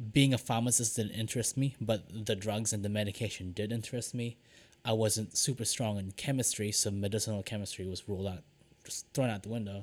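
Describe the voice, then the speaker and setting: A man with a New Zealand accent and a fairly low pitch speaks at a fairly quick pace in a very clean recording with a silent background. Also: fairly even intonation. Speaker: podcast co-host, lab technician. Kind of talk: casual chat.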